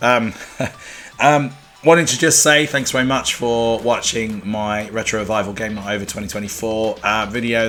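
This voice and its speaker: Music plays in the background as a man speaks at a moderate pace. His pitch is medium with ordinary variation. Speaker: retro game reviewer. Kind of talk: casual talk to camera. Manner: quiet.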